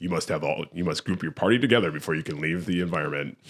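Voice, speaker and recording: Using a put-on character voice, a man booms in a very deep, low pitch at a very fast pace. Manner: booming, commanding.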